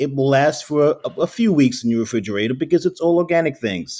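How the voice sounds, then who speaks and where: In a very clean recording with a silent background, a man with a dark, mellow tone and a fairly high pitch talks at a fairly quick pace with lively intonation. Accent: New York. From New York. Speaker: spirits founder. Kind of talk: interview.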